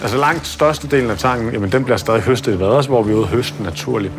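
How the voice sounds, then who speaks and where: Talking very fast with lively intonation, a man is heard through noticeable background noise and audible room echo. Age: 20s. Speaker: seaweed farm founder. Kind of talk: interview. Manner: hesitant with fillers.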